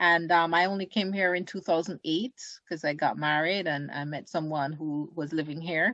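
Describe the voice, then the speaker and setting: Delivered with a Jamaican accent, the voice has a bright, sharp tone, fairly even intonation and a moderate pace against a quiet background. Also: woman, fairly low pitch for a woman. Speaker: community group secretary. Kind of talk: interview.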